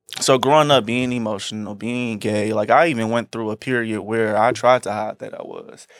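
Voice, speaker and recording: Medium-pitched male speech with fairly even intonation at a moderate pace, hardly any pauses and big swings in loudness, over noticeable background noise. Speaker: fashion designer. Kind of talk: casual chat. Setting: studio. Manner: soft-spoken.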